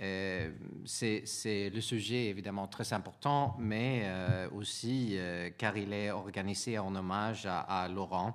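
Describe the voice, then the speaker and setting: With a Swedish accent, a man with a fairly low pitch speaks at a very slow pace and with fairly even intonation, in audible room echo. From Sweden. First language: Swedish (speaking French). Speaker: European Commission official. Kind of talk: conference talk from notes. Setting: conference with audience. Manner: halting, many hesitations.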